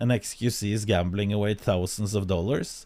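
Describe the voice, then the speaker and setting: In a Norwegian accent, a man speaks with a dark, mellow tone and fairly even intonation on a very clean recording with a silent background. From Norway. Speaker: streamer. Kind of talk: casual chat. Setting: live stream. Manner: halting.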